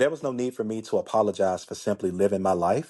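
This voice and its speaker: At a moderate pace, a man with a Memphis accent speaks in a fairly low pitch. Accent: Memphis Southern. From US South, Memphis, Tennessee. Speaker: life coach podcaster. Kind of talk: casual podcast monologue. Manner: animated, conversational.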